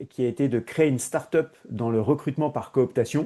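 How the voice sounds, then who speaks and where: The man moves at a fairly quick pace, his pitch varying in an ordinary way, with a quiet background. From Paris, France. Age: 40s. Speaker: HR innovation consultant. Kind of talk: podcast interview. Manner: hesitant, many fillers.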